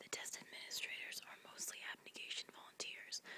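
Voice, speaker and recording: Noticeable background noise accompanies a woman's whisper, which moves at a moderate pace. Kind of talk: read story. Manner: whispered.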